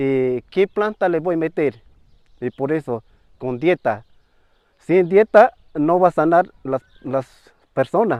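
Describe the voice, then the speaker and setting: A man with a Peruvian Amazonian accent speaks very slowly at a fairly high pitch, using lively intonation and long, frequent pauses. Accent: Peruvian Amazonian Spanish, non-native. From Peru, Ucayali River, Shipibo-Conibo community. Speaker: traditional healer, ayahuasca curandero. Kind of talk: interview answer.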